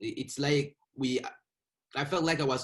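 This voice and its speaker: A man speaks in a somewhat breathy way. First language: not English (English is fifth language). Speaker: author. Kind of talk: interview. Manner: halting, with repeated words.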